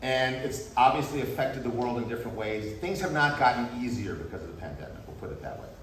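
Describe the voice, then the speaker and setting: A man with an American accent speaks with ordinary pitch variation. Noticeable background noise and audible room echo surround him. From US. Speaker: university professor. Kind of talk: farewell talk to students. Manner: fast.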